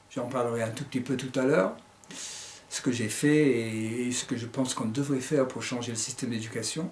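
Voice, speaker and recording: A man speaks at a fairly slow pace. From United States. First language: English (speaking French). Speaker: author and teacher. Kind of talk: book presentation. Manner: hesitant, with fillers.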